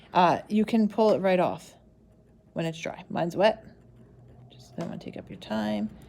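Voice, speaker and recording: A woman speaks at a medium pitch in a dark, mellow tone with vocal fry and very wide pitch swings. Her loudness swings widely, and she takes long, frequent pauses. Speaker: craft workshop instructor. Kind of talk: tutorial. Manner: fast.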